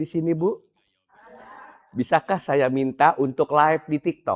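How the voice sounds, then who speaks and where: Heard in a dry, close sound with no echo, a man with a fairly high pitch speaks slowly and with fairly even intonation. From Indonesia, Javanese family raised in Bandung (West Java). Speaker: Islamic preacher. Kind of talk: religious study talk to women's group. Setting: mosque. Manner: casual, conversational.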